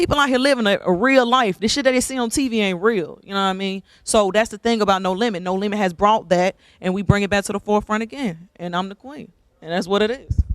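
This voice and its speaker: A woman with an American accent speaks at a very fast pace in an animated tone, her pitch medium with ordinary variation and her loudness swinging a lot. The recording is very clean, with a silent background. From Decatur, Georgia (US South). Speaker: rapper. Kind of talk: interview. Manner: casual, animated.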